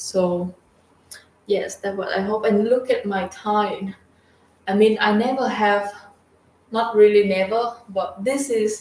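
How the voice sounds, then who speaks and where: Amid noticeable background noise, a woman with a Vietnamese accent talks at a very slow pace. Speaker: vlogger. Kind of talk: casual video diary. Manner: halting.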